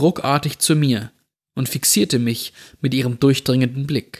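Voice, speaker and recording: This is a plain, everyday voice. The recording is very clean with a silent background, and the sound is dry and close with no echo. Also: man. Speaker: podcast host reading creepypasta. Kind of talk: scripted horror story narration, read aloud. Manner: slow, suspenseful, hushed storytelling pace; atmospheric, tense, building dread.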